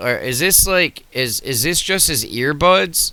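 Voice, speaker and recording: Speaking at a very slow pace, a man uses a bright, sharp tone with vocal fry and very wide pitch swings. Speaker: political commentator reacting to videos. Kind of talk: reaction video commentary. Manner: loud, projecting to reach the mic; animated.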